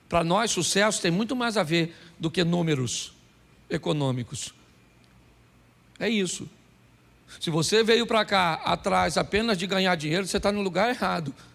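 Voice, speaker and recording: A man speaks at a moderate pace with high pitch and ordinary pitch variation. His speech has long, frequent pauses. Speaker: pastor. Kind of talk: sermon.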